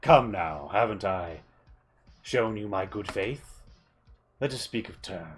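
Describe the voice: A man's put-on character voice, fairly low in pitch, with lively intonation, big swings in loudness, a fairly slow pace and long, frequent pauses.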